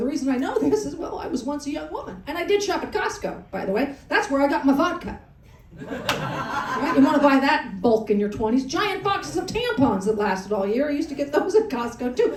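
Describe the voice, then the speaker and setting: Amid noticeable background noise and audible room echo, a woman with an American accent speaks at a high pitch and fairly quick pace, her pitch swinging very widely. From Colorado. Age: 60s. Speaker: stand-up comedian. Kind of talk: stand-up. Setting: comedy club on a cruise ship, live audience. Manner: animated.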